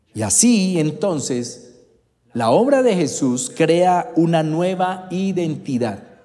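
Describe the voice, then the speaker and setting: In a room with audible echo, a man speaks at a very slow pace and a high pitch. His pitch swings very widely. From Colombia, Bogotá. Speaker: preacher. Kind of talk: sermon.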